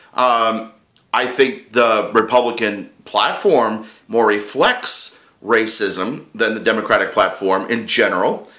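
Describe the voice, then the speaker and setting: With audible room echo, a man at medium pitch speaks with very even loudness and a bright, sharp tone. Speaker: political vlogger. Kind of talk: casual chat. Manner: fast; animated.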